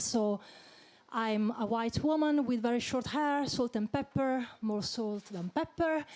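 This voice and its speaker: Speaking at a fairly slow pace, a woman with a non-native accent uses a fairly high pitch with ordinary pitch variation. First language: not English. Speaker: panel moderator. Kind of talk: panel discussion moderation. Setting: stage with audience.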